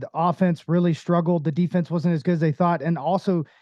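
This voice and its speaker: A man talks very fast at a high pitch. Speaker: former pro baseball player, baseball analyst. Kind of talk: casual interview.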